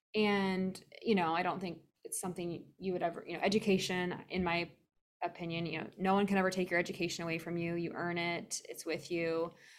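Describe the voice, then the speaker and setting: A woman talks fairly quickly in a fairly low voice with an American accent. Her intonation stays flat and monotone. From US Midwest, Iowa. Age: 40s. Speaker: podcast host, wellness manager. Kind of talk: casual interview.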